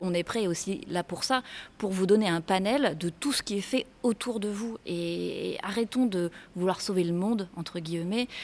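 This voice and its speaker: Fairly slow, medium-pitched speech from a woman, with pitch varying in an ordinary way. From Réunion. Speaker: freediver and underwater filmmaker. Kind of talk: interview. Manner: hesitant, many fillers.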